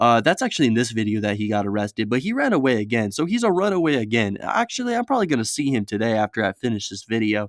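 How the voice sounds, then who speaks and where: At a very fast pace with hardly any pauses, a man speaks in an animated tone at medium pitch with ordinary pitch variation and a dry, close sound with no echo. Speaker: storytelling YouTuber. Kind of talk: casual storytelling.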